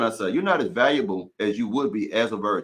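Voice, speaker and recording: A man with very wide pitch swings and vocal fry. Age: 40s. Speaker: relationship coach. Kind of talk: livestream discussion. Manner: casual.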